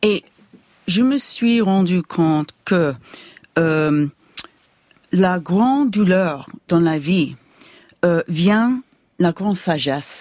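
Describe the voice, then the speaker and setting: Delivered at a very slow pace with long, frequent pauses, the speech has lively intonation and very even loudness in a dry, close sound with no echo. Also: woman, fairly low pitch for a woman. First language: English (speaking French). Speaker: neuroscientist. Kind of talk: interview. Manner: halting.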